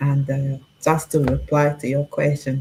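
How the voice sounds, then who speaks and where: A woman with a Portuguese accent speaks at a fairly slow pace in a very deep, low pitch, her tone dark and mellow and somewhat breathy. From Portugal. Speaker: discussion guest. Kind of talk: casual chat. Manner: direct.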